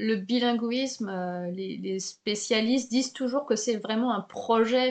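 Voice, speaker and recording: At a very slow pace, a woman speaks in a fairly high voice with fairly even intonation over a quiet background. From Paris, France. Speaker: podcast host, French teacher. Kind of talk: interview. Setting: home recording, window open.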